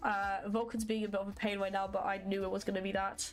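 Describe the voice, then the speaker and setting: Over music in the background, a woman speaks at a fairly quick pace with a medium pitch. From Poland, raised mostly in UK. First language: Polish. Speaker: game developer streamer. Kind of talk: live coding stream. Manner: casual, filler-heavy.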